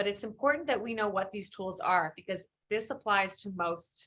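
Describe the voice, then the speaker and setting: Here a woman speaks with an American accent. Her tone is bright and sharp. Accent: Philadelphia accent, may come out. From Philadelphia, US. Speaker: employment lawyer, guest lecturer. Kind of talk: guest lecture. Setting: live-streamed online lecture. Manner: casual, many fillers and restarts.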